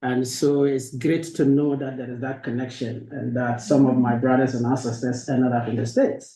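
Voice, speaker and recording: Somewhat breathy and dark, mellow in tone, a man with a Ghanaian accent speaks at medium pitch and a moderate pace in a monotone, flat intonation. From northern Ghana. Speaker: university professor. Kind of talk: academic lecture. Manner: hesitant fillers.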